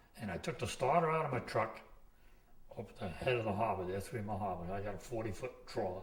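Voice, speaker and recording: A man with an American accent at a very fast pace, fairly low in pitch with lively intonation, amid audible room echo and noticeable background noise. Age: 60s. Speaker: commercial fisherman. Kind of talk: oral history interview. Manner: rambling storytelling with false starts.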